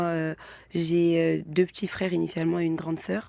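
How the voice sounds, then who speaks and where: A woman's voice is heard here. The background is silent and the recording very clean. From Île-de-France. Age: 20s. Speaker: interview guest. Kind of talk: personal testimony. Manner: halting, many fillers.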